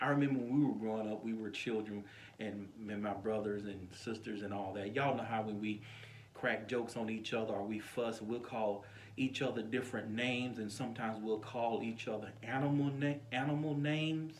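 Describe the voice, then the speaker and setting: A soft-spoken man at medium pitch talks fairly quickly with fairly even intonation. Noticeable background noise and audible room echo are present. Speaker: pastor. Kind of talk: informal sermon to camera.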